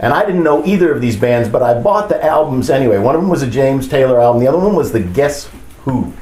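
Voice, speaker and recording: With audible room echo and noticeable background noise, a man speaks at a fairly high pitch with lively intonation. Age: 60s. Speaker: bass player. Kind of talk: interview storytelling.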